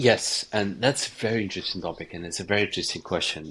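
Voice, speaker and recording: Talking at a very fast pace with ordinary pitch variation, a man speaks with a Ukrainian accent. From eastern Ukraine, near Russian border. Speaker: documentary director and journalist. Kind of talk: interview. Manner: halting, many fillers and repetitions.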